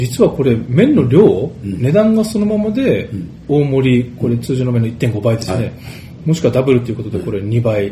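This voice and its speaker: Over noticeable background noise, a man at a medium pitch speaks at a moderate pace with lively intonation. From Japan, Fukuoka. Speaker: tv interviewer. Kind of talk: interview. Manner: formal.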